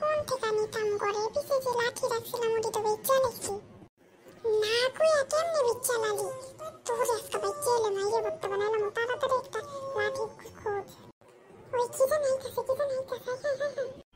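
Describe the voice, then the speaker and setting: A cartoonish character voice at an extremely high pitch, with music in the background. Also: moderate pace. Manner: fast, jittery.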